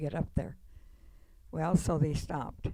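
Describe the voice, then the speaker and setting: Speaking fairly slowly in a flat monotone, a woman with a very deep, low voice shows vocal fry. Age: 90s. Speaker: wartime factory worker, widow of a war veteran. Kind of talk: testimony. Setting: veterans center event with audience.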